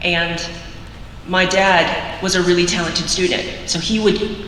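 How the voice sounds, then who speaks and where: A woman with an American accent speaks at a fairly low pitch. Noticeable background noise and audible room echo fill the recording. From US Midwest, Missouri. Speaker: college counselor and nonprofit founder. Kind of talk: keynote speech. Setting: school assembly.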